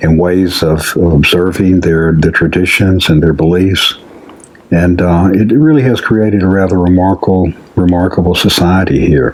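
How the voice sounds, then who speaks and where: A man with an Alabama accent, very deep and low in pitch, at a moderate pace, with ordinary pitch variation, very even loudness and noticeable background noise. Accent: Southern US (Alabama). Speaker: community founder. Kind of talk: interview.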